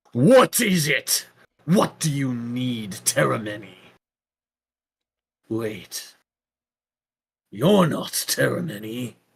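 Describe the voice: In a put-on character voice, a man speaks at a very slow pace with long, frequent pauses, a resonant sound, medium pitch and lively intonation.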